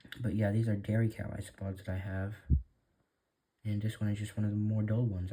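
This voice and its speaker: This man talks at a fairly quick clip with a fairly low pitch. His voice comes across somewhat breathy. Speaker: hobbyist terrarium keeper. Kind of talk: casual vlog narration. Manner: hesitant, filler words.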